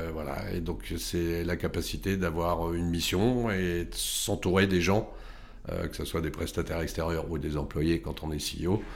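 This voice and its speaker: Very slowly and at a very deep, low pitch, a man speaks with audible room echo. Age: 50s. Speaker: tech company CEO. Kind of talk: interview.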